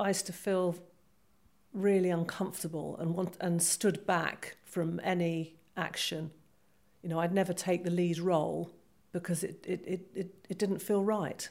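In a British accent, a woman speaks at a moderate pace with a fairly low pitch and monotone, flat intonation. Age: 50s. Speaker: retired police officer. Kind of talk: testimony. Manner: halting.

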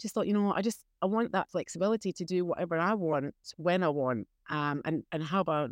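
A woman with a Scottish accent speaks at a fairly low pitch with lively intonation. The sound is dry and close with no echo, over a quiet background. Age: 50s. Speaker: beekeeper. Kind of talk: casual interview.

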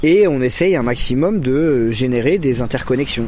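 Over noticeable background noise, a man with a medium pitch speaks at a fairly slow pace with lively intonation. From Lyon area, France. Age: 30s. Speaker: community educator and activist. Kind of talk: interview. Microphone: poor recording quality.

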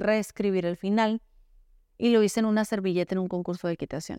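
A woman with a Sonoran accent speaks at a fairly high pitch with fairly even intonation, in a very clean recording with a silent background and a dry, close sound with no echo. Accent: northern Mexican (Sonora), somewhat blunt. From Sonora, northern Mexico. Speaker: novelist. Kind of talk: interview.

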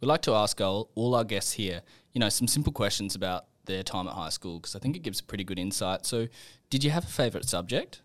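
On a very clean recording with a silent background, a man with an Australian accent talks at a very fast pace with lively intonation. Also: fairly low pitch for a man. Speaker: podcast host. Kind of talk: interview.

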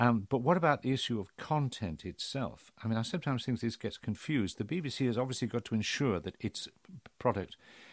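A man with a British accent, very fast pace and lively intonation, in a very clean recording with a silent background. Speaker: podcast host and former broadcaster. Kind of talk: casual interview chat.

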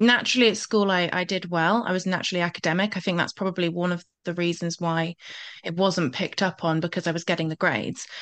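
A woman with an unremarkable speaking voice talks at a fairly quick pace at a medium pitch. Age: 20s. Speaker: confidence coach. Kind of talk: interview.

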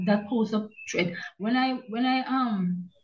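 A woman's somewhat breathy voice with a dark, mellow tone and ordinary pitch variation. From Jamaica (Kingston). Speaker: retired journalist and author. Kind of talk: interview.

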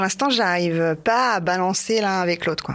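The speaker is a woman. Noticeable background noise can be heard. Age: 40s. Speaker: dating podcast guest. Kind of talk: recorded personal statement; casual chat.

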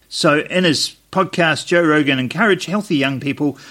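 Speaking at a moderate pace with a New Zealand accent, a man has a fairly high pitch, a bright, sharp tone and ordinary pitch variation. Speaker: podcast co-host. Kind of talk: casual chat.

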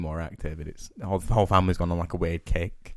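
A man's very deep, low voice with an English accent, at a very fast pace. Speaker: podcast co-host. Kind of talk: casual chat.

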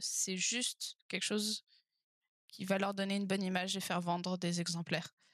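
The speech moves at a fairly slow pace in a dry, close sound with no echo. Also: woman. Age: 20s. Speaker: author and engineer. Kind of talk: interview conversation.

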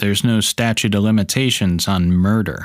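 A man puts on a gruff character voice, pitched fairly low, at a moderate pace. The recording is very clean with a silent background. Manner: stern, world-weary.

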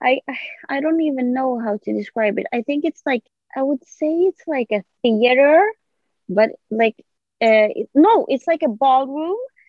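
A high-pitched woman with a Swedish accent, lively intonation and a fairly slow pace, with long, frequent pauses. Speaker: podcast guest. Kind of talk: casual interview.

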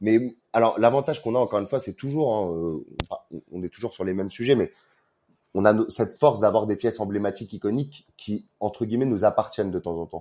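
Dark and mellow in tone, the voice moves at a fairly quick pace with ordinary pitch variation in a very clean recording with a silent background. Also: man, fairly low pitch for a man. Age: 30s. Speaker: brand marketing manager. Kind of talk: interview.

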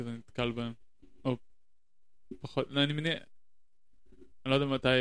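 This is a man speaking at a medium pitch. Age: 30s. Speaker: podcast guest. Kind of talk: casual chat. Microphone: shared single channel, close to mic, plosives.

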